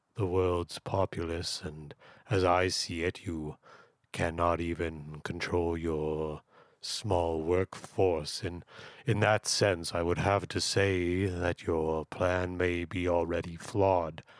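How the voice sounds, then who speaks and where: A man speaks at a very slow pace in a very deep, low pitch with monotone, flat intonation, the sound dry and close with no echo. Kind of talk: radio call-in show host. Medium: comedy sketch. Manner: pompous, polite, formal.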